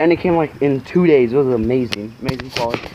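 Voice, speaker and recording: Through loud background noise, a man talks at a very fast pace with ordinary pitch variation. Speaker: carnivorous plant vlogger. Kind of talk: angry rant over a ruined plant unboxing, swearing and venting. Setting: home video, camera vlog. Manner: outraged, agitated, rapid and exasperated. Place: garden. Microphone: phone near.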